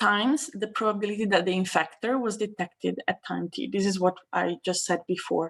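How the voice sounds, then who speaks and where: Her voice sits at a medium pitch for a woman and shows vocal fry. She speaks at a fairly quick pace with hardly any pauses, on a very clean recording with a silent background. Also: ordinary pitch variation. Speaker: mathematics researcher. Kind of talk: lecture.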